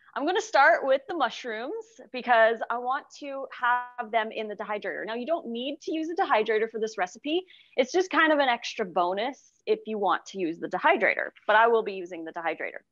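Against music in the background, a woman with a high voice talks at a fairly quick pace in a dry recording with no echo. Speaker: cooking show host. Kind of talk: tutorial. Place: kitchen.

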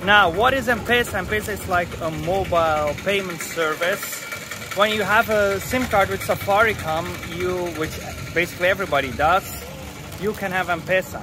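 A man's raised, projected voice at a moderate pace, with ordinary pitch variation, dry sound with no echo and noticeable background noise. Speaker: travel vlogger. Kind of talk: casual vlog chat. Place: street. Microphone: phone near.

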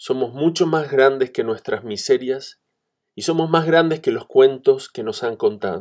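The man's loudness changes in big swings. He talks at a fairly slow pace. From Argentina. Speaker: translator and musician. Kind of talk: recorded video message, partly reading a written text.

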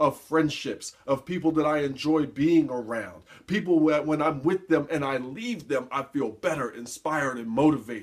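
A man with an ordinary speaking voice talks at a moderate pace with lively intonation against a quiet background. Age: 40s. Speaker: motivational speaker and life coach. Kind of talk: motivational talk to camera. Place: office. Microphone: webcam.

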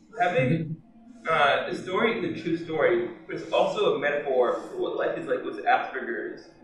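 With a fairly high pitch, a man talks at a moderate pace. Strong room echo surrounds his voice. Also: lively intonation.

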